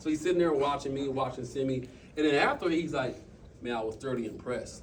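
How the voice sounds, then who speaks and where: In a room with audible echo, a man talks at a very fast pace in a fairly high, somewhat breathy voice with ordinary pitch variation. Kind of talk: motivational talk to a team. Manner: animated.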